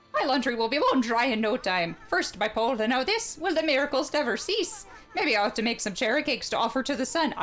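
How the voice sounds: The speaker puts on a character voice with a high pitch in an Irish accent. Delivery is very fast over clear background noise. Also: hardly any pauses.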